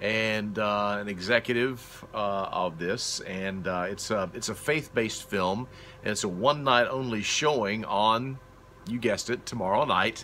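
In a normal speaking voice, a man with a fairly low pitch talks at a fairly slow pace, with ordinary pitch variation and light background noise. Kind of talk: casual vlog chat. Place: workshop.

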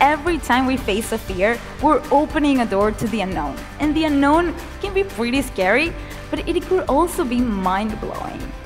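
Over clear background music, a woman speaks at a moderate pace in a high pitch, her voice swinging very widely up and down. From Venezuela. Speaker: motivational speaker. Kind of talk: motivational keynote speech. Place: stage. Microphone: lapel.

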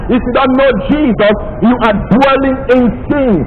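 With clear background noise behind him, a man speaks at a moderate pace in an extremely high pitch with ordinary pitch variation.

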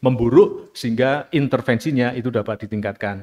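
A man talks fairly quickly, and the background is quiet. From Indonesia. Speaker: law lecturer and author; law lecturer. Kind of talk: academic presentation. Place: hall. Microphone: podium.

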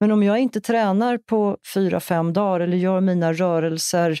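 In a very clean recording with a silent background and a dry, close sound with no echo, a woman of medium pitch speaks at a fairly slow pace in a dark, mellow tone with fairly even intonation. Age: 60s. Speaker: massage therapist and movement instructor. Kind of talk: interview. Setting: studio.

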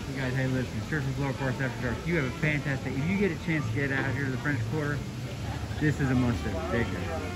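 Very fast speech over clear background music. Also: man, ordinary pitch variation. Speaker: travel vlogger. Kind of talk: casual vlog chat. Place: bar. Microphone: phone near.

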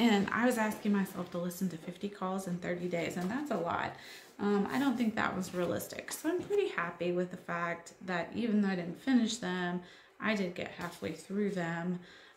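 Faint noise sits behind a woman's voice, and the room's echo can be heard. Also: ordinary pitch variation, moderate pace. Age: 40s. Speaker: YouTuber, homeschool mom; vlogger. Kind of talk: vlog monologue. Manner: casual, hesitant with fillers. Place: home room. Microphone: phone near.

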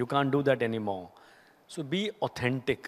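A man talks with an Indian accent. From India, Haryana. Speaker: company CEO; guest. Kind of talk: on-stage interview. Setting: stage with audience. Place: stage. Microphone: handheld.

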